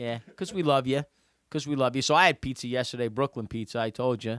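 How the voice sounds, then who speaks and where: Recorded dry and close with no echo, a man with a New Jersey accent and a medium pitch talks at a fairly quick pace with ordinary pitch variation. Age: 40s. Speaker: podcast host, real estate agent. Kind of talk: casual chat.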